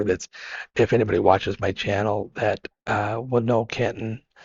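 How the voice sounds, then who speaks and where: The speaker is a man with an American accent and a somewhat breathy voice. He keeps a moderate pace and fairly even intonation. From Idaho, US. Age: 50s. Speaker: long-distance hiker and adventure biker. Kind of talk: podcast interview. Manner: halting, many repeated words.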